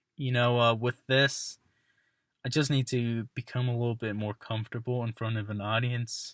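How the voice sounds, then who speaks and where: In a very clean recording with a silent background, a man speaks at medium pitch and a moderate pace, his intonation monotone and flat, the sound dry and close with no echo. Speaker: college student. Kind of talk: self-reflection monologue. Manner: halting, many fillers.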